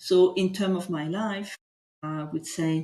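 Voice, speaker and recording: This woman speaks with a French accent. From France. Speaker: executive coach. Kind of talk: guided coaching session. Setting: livestream.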